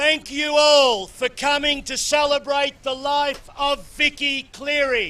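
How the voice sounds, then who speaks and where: In an Australian accent, a man projects a raised voice at an extremely high pitch, bright and sharp in tone, at a very slow pace. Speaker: former footballer giving a memorial speech. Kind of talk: public speech. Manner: loud.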